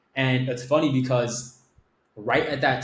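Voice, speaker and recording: With an American accent and medium pitch, a man speaks at a moderate pace. His voice is somewhat breathy, and his intonation is monotone and flat. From Miami, Florida. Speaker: agency owner. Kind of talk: interview storytelling. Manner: casual, filler-heavy.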